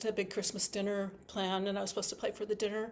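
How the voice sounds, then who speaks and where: A woman with a Wisconsin accent. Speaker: harpist teaching a workshop. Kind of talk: online workshop talk. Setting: video call from home. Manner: fast; halting, many fillers and restarts.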